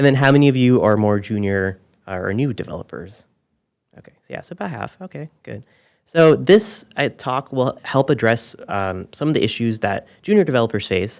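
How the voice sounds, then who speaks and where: A soft-spoken man talks at a moderate pace with lively intonation and big swings in loudness. The recording is very clean, with a silent background. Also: medium pitch for a man. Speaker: software engineer, conference speaker. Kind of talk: conference talk. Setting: stage with audience.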